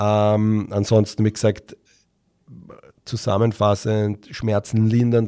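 A dark, mellow tone with monotone, flat intonation at a very slow pace, on a very clean recording with a silent background. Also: man. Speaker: sports physiotherapist, podcast host. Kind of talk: solo educational podcast talk. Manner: hesitant, many filler sounds.

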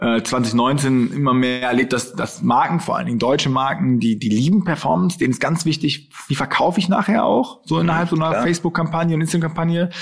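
A man's fairly high voice at a very fast pace, with hardly any pauses, lively intonation and very even loudness over noticeable background noise. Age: 20s. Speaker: influencer agency owner. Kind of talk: interview.

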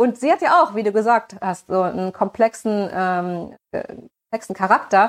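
The woman's voice sits at medium pitch with ordinary pitch variation and a dry, close sound with no echo. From Germany, small town. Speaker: voice actress. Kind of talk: interview. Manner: hesitant, many fillers.

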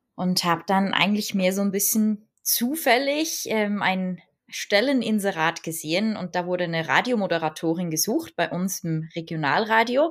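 In a normal speaking voice, a woman talks at a moderate pace in a medium pitch, recorded very cleanly against a silent background. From Switzerland. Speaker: hand-lettering artist and online entrepreneur. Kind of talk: interview conversation.

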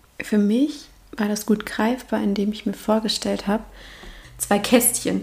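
Speaking with long, frequent pauses, a woman with a fairly high pitch shows vocal fry. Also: fairly even intonation. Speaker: podcast host. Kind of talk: solo reflective monologue. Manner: casual, with filler sounds and laughter.

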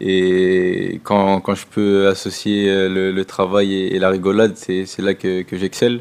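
A man speaks in a very deep, low voice at a fairly slow pace, with a monotone, flat intonation. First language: French (speaking German). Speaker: football player. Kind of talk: press conference. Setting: press room. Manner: halting.

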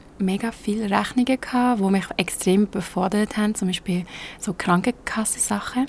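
A woman with a Swiss accent, ordinary pitch variation and a fairly quick pace. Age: 20s. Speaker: podcaster. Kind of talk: personal monologue. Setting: outdoors. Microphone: laptop mic under an umbrella.

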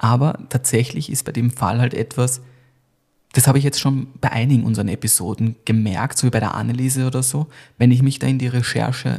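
The voice is somewhat breathy, with fairly even intonation at a fairly quick pace. The recording is very clean, with a silent background. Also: man. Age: 30s. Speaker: podcast host. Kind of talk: casual chat; scripted storytelling narration.

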